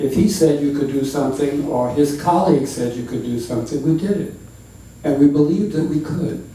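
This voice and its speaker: Over noticeable background noise and audible room echo, a man talks at a moderate pace with a fairly high pitch. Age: 70s. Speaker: civil rights pioneer. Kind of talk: personal testimony at public talk.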